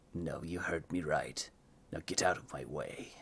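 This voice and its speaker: A put-on character voice, raspy and very deep in pitch. The pace is moderate. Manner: menacing, curt.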